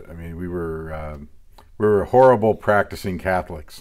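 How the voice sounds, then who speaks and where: With an American accent, a man talks at a moderate pace over a quiet background, his loudness swinging widely, his pitch varying in an ordinary way, and his speech broken by long, frequent pauses. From US Pacific Northwest (Portland, Oregon area). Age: 40s. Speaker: assistant pastor. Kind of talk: testimony. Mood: reflective, candid. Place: office. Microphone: lapel.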